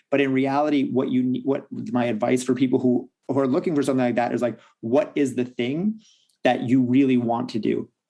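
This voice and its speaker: At a fairly quick pace, a man talks in a medium pitch with a dark, mellow tone, fairly even intonation and very even loudness. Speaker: confidence and fitness coach. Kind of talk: podcast interview. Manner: fast; straightforward.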